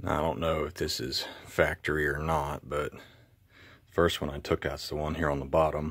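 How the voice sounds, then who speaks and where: A quiet man speaks at a moderate pace with a very deep, low pitch and vocal fry. His intonation is monotone and flat, yet his loudness swings widely. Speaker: DIY car repair hobbyist. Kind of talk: tutorial. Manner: casual.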